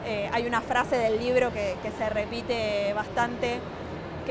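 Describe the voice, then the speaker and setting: The speech moves at a moderate pace with monotone, flat intonation. Audible room echo and music sit in the background. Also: woman. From Argentina, Neuquén (Patagonia). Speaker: writer and former ballet dancer. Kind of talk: interview. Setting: book fair stand.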